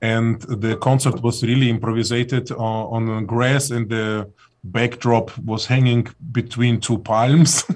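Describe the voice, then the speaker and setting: A man with a non-native accent speaks at a fairly slow pace. His medium-pitched voice has monotone, flat intonation. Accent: foreign. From Soviet Union. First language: Russian. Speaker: singer in a band. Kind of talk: casual chat. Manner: halting.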